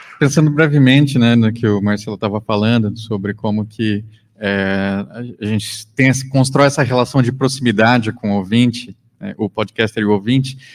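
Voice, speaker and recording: With a Mato Grosso do Sul accent, a man speaks at a moderate pace and medium pitch with ordinary pitch variation, in a very clean recording with a silent background. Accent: Mato Grosso do Sul accent, strong rolled R. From Mato Grosso do Sul, Brazil. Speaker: podcaster and lecturer. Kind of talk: panel discussion.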